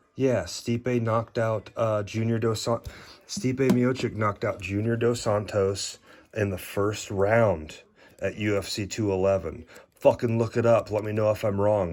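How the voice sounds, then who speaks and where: A man mumbles at a fairly slow pace with fairly even intonation. His pitch sits fairly low. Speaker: trading card collector. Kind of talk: casual card haul review. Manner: mumbling; halting.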